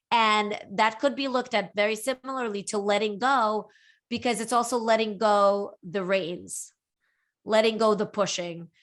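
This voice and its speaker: A woman with a fairly high pitch and fairly even intonation at a moderate pace, in a very clean recording with a silent background. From Brooklyn, New York (emigrated from Latvia at eight). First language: Russian. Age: 40s. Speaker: writer. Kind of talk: interview.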